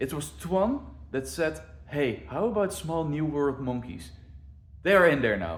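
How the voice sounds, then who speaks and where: With audible room echo, a man speaks at a moderate pace with vocal fry and very wide pitch swings. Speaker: zoo planner and video creator. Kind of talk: casual walkthrough of zoo plans.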